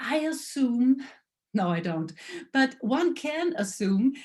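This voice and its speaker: A woman speaks with a German accent at a very slow pace. Her pitch swings very widely. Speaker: lecturer. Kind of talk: lecture. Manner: halting.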